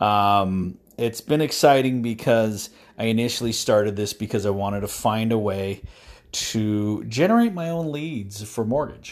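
The recording is very clean, the background silent. A man with fairly low pitch speaks at a fairly slow pace with ordinary pitch variation. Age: 50s. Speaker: podcaster, mortgage loan officer and veteran. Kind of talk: monologue. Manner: halting.

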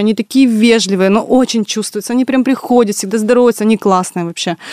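In a plain, everyday voice, a woman talks with fairly high pitch and fairly even intonation. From Russia, Tyumen. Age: 30s. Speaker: entrepreneur, café and delivery restaurant co-founder. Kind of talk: radio interview. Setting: radio studio.

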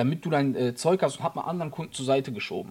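This man's voice sits fairly high and sounds somewhat breathy, with ordinary pitch variation. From Germany, Frankfurt area. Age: 30s. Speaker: photographer and videographer. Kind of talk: casual interview.

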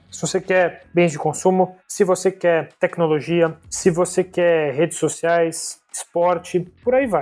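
With music in the background, a man with a high pitch talks at a very slow pace, hardly pausing, his intonation fairly even. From São Paulo city, Brazil. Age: 20s. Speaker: corporate management trainee. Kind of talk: casual interview.

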